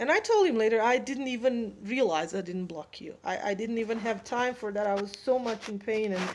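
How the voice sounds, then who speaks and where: A woman with a non-native accent, fairly high pitch, ordinary pitch variation and a fairly quick pace. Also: hardly any pauses. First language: not English. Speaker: spiritual advice vlogger. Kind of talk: casual monologue.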